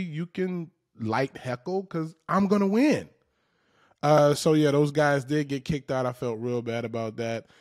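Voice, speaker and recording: A man speaks slowly in a fairly high pitch, animated, with lively intonation. The sound is dry and close with no echo, very clean, over a silent background. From US South, Macon, Georgia. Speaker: stand-up comedian and podcast host. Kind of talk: casual monologue.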